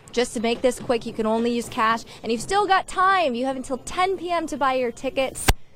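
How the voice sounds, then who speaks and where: A woman's high-pitched, upbeat voice at a fairly quick pace with lively intonation and hardly any pauses, over noticeable background noise. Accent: American. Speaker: television news reporter. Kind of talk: broadcast news reporting, live standup. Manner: upbeat, conversational.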